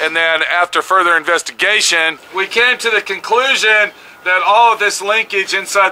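Over music in the background, a man uses a raised, projected voice with fairly even intonation at a moderate pace. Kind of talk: tutorial. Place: open country. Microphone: phone near.

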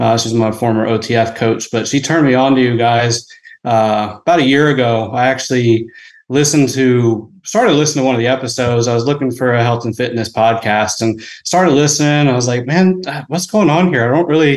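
A man speaks fairly quickly, his pitch shifting in an ordinary way, with little sound behind him. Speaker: podcast caller. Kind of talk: casual call-in question. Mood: friendly, slightly nervous. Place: home room. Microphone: video call.

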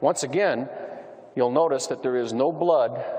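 Amid noticeable background noise, a man of medium pitch speaks with an American accent. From US Midwest, Missouri. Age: 50s. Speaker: police officer and UFO investigator. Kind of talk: lecture. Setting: stage with audience. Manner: humorous storytelling.

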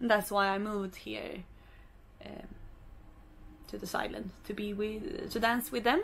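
A woman with a Swedish accent over light background noise. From Sweden, Stockholm; Sweden. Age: 20s. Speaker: vlogger and professional dancer; vlogger. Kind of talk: casual vlog. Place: boat.

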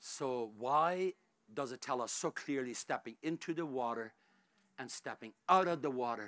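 A man's medium-pitched, bright, sharp and dramatic delivery at a moderate pace with ordinary pitch variation

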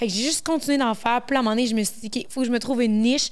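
A woman speaks with a fairly high pitch. Her intonation stays fairly even. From Quebec. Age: 20s. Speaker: content creator. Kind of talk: casual chat. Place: studio. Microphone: handheld.

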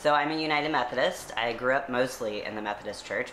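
Someone with an American accent speaks at a fairly quick pace over light background noise. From US South. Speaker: seminary graduate and church activist; interview guest. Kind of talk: interview. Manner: hesitant with frequent fillers. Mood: calm, thoughtful. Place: home room. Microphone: camera far.

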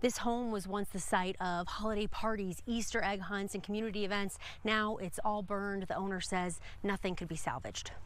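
A woman with a plain, everyday voice speaks at a fairly quick pace and medium pitch, her intonation fairly even and the sound dry with no echo. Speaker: TV news reporter. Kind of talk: TV news field report. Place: open country.

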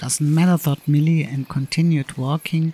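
Over noticeable background noise, a man speaks with fairly even intonation and a fairly high pitch. The sound is dry and close, with no echo. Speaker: amateur animator reading his own story. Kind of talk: read children's story. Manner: slow, clear.

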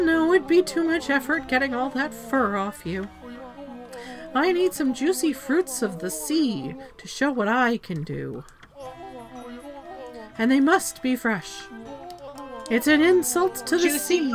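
Someone uses a put-on character voice, raised and projected, at a fairly slow pace. Background noise comes through clearly. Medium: game stream. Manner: melodramatic, self-pitying, proud.

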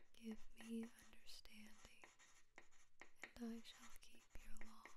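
Whispering in a gentle tone, the speaker goes at a very slow pace. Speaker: ASMR channel host. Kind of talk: soft-spoken bible reading for sleep / ASMR. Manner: soft-spoken, slow, gentle.

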